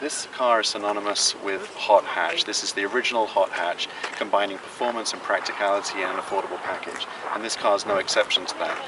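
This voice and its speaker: Through noticeable background noise, a man with a British accent speaks at a very fast pace. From England. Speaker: car reviewer. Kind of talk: car review.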